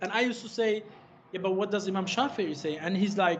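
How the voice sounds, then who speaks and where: Speaking at a very fast pace, a man uses a high pitch with ordinary variation. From Germany (Frankfurt), schooled in England. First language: German. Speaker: Islamic scholar. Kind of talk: interview conversation. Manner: halting, many false starts.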